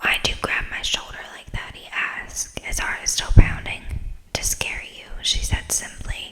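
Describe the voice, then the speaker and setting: A fairly slow whisper comes through over noticeable background noise. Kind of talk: ASMR bedtime story reading. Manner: whispered, soft-spoken.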